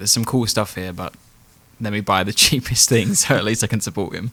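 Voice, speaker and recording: A man with a British accent speaks at a very fast pace. His tone is bright and sharp, with ordinary pitch variation. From England. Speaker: podcast host. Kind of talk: casual podcast conversation.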